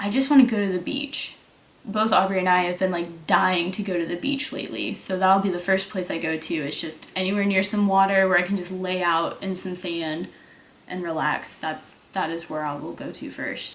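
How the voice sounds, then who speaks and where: Spoken at a moderate pace with a slight Southern US accent and ordinary pitch variation, the voice carries audible room echo. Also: woman, medium pitch for a woman. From Texas. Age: 20s. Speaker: fitness YouTuber and online coach. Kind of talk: casual Q&A vlog. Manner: casual, filler-heavy.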